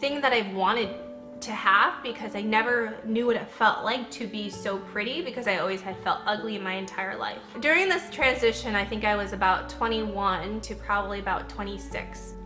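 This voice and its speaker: Over clear background music, a woman is talking. Her pace is moderate. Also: ordinary pitch variation. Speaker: lifestyle vlogger. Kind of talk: casual vlog chat. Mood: reflective, personal story.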